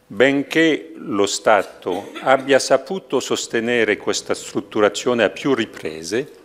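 A man's medium-pitched voice with a French accent and vocal fry, very slow in pace yet lively in intonation. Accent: French accent in Italian. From France. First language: French (speaking Italian). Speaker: university head giving a lecture. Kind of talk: formal lecture. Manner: formal. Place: hall. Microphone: podium.

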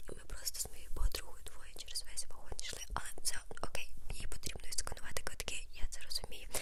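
Soft-spoken and whispering, a woman talks at a fairly quick pace over noticeable background noise. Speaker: ASMR creator. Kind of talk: ASMR storytime. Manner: whispered.

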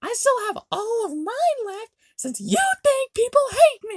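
A woman performs a put-on character voice, squeaky and extremely high-pitched with very wide pitch swings. She speaks at a fairly slow pace. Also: big swings in loudness. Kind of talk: character dialogue in skit. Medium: machinima. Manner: petulant, whiny. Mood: defensive.

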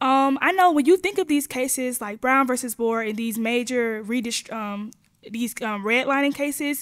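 Over a quiet background, a woman speaks at a moderate pace in a high voice. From Georgia. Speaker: graduate student; panelist. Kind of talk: panel discussion. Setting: stage with audience. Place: meeting room. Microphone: podium.

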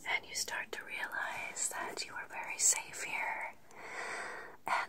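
Whispering and soft-spoken, a woman talks at a very slow pace over loud background noise. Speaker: relaxation content creator. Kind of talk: soothing bedtime role-play talk. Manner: soft close-up ASMR whisper. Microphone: phone near.

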